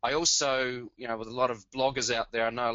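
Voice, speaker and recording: Fairly even intonation marks a man with an Australian accent, speaking at a moderate pace in a medium pitch. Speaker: blogger and webinar co-host. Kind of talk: webinar introduction. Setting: webinar.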